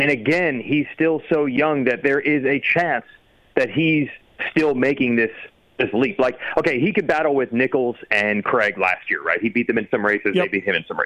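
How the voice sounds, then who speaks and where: A man with an unremarkable speaking voice talks with lively intonation at a fairly high pitch. His loudness stays very even throughout. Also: moderate pace. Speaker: motocross journalist and announcer. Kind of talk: casual chat.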